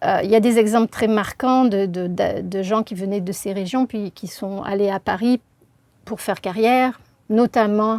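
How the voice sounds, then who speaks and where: In a very clean recording with a silent background, a woman speaks at a fairly slow pace with fairly even intonation. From southern France, Marseille region. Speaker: linguist. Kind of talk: interview. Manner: hesitant, many filler sounds.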